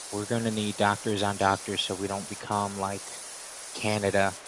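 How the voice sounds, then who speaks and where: This is a man with an American accent. Noticeable background noise runs beneath his voice. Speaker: live streamer. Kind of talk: casual livestream chat. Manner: monotone.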